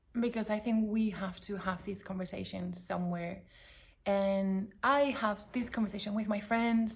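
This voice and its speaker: A woman speaks with a non-native accent at a moderate pace. Her voice is somewhat breathy, medium in pitch, with fairly even intonation. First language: not English. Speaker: personal vlogger. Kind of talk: casual monologue to camera. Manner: halting, self-correcting.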